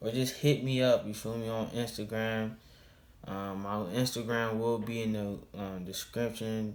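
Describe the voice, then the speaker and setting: Man at medium pitch, fairly slow and monotone with flat intonation, in audible room echo. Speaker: YouTuber reacting to scary stories. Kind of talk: casual video outro. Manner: casual slangy speech; halting, stuttering.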